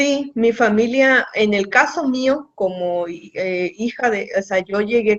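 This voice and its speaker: Her pitch moves in an ordinary way. The voice belongs to a woman. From Baja California, Mexico (San Quintín valley). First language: Mixtec (speaking Spanish). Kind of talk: radio interview.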